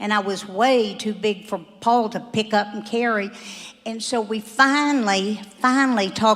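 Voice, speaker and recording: A woman's fairly high-pitched voice at a moderate pace, with fairly even intonation and noticeable background noise. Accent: American. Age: 70s. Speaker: church member giving testimony. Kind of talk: testimony.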